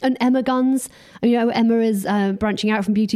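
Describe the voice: A woman speaks at a fairly quick pace in a fairly high pitch, with a dark, mellow tone and fairly even intonation.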